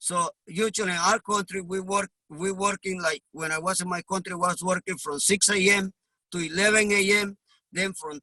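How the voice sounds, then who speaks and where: Using a raised, projected voice, a man speaks at a high pitch and moderate pace, his tone bright and sharp and his intonation fairly even, in a dry, close sound with no echo. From Honduras. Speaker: immigrant delivery truck driver. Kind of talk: interview.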